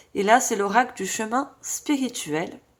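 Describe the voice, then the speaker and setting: A woman talks with lively intonation at a fairly high pitch. Noticeable background noise sits behind her voice. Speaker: tarot reader / medium. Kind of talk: tarot reading guidance. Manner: trying to speak loudly.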